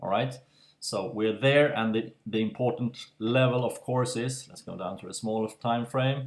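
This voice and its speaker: Speaking at a medium pitch with fairly even intonation, a man lets his loudness swing widely. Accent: non-native. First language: non-native English speaker. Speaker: crypto market analyst. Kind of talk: casual screen-share market analysis. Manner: slow, hesitant, trips over words.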